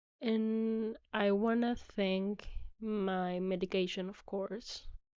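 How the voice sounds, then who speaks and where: A woman's medium-pitched, monotone, flat delivery with a non-native accent at a very slow pace. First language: not English. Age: 20s. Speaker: podcast host. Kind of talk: personal monologue.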